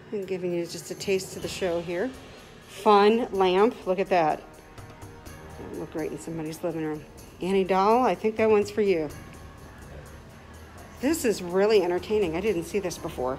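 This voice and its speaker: Faint music plays behind a woman speaking at a moderate pace, with ordinary pitch variation and long, frequent pauses. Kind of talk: casual live-stream tour commentary. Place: hall. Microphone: phone near.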